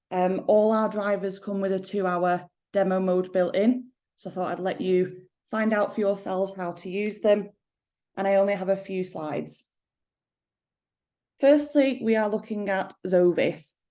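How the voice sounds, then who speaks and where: Dark and mellow in tone, a woman with an English accent speaks at a moderate pace with fairly even intonation and long, frequent pauses. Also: medium pitch for a woman. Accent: regional English accent, toned down. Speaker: company managing director. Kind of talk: product presentation.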